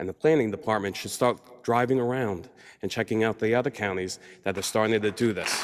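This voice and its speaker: A man with a New York accent at a fairly quick pace, with ordinary pitch variation. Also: medium pitch for a man. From New York, Long Island. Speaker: public commenter. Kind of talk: public comment at county meeting. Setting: county board meeting.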